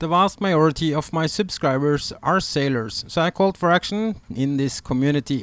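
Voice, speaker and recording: Speaking with a Norwegian accent, a man with a fairly high pitch keeps a moderate pace, ordinary pitch variation and hardly any pauses. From Norway. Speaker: sailing vlogger. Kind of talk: informational video narration.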